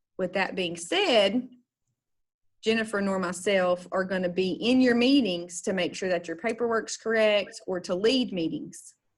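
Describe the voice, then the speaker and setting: Using an unremarkable speaking voice, a woman talks at a fairly slow pace and medium pitch with ordinary pitch variation. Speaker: special education trainer. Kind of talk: online training session. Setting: video call.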